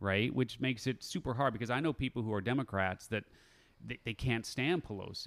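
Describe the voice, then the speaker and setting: This man has a normal speaking voice, a medium pitch and ordinary pitch variation, moving at a fairly quick pace. The recording is very clean with a silent background, and the sound is dry and close with no echo. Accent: American. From Chicago, US Midwest. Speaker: podcast host and entrepreneur. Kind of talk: casual interview chat.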